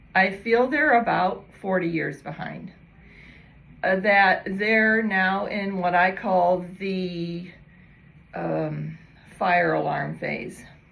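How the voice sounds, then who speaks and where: Very slow speech from a woman, long, frequent pauses and audible room echo throughout. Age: 60s. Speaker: fascia educator. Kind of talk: casual talk to camera. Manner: conversational with filler words.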